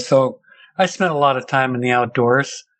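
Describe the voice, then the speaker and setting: Speaking with a Pacific Northwest accent, a man at medium pitch keeps a fairly quick pace. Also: quiet background. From US Pacific Northwest, Seattle. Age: 60s. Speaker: interview guest telling a sighting story. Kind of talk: personal testimony.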